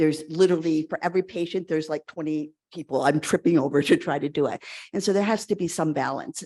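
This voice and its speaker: Dark and mellow in tone, the voice moves at a very fast pace with ordinary pitch variation. The sound is dry and close with no echo, over a quiet background. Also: woman, fairly low pitch for a woman. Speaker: pediatric transplant physician. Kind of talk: conference lecture.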